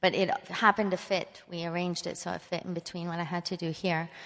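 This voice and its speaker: Against a quiet background, a woman talks at a moderate pace in a fairly low pitch, with a plain, everyday voice. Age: 40s. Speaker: retiring principal ballet dancer. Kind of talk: onstage interview. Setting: stage with audience.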